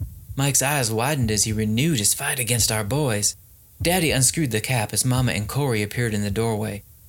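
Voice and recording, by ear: Pitch varies in an ordinary way. The clip is reading aloud in a natural voice.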